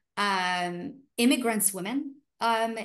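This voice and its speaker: A woman with an Arabic accent. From Iraq. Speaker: refugee rights activist. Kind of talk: panel discussion. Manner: halting.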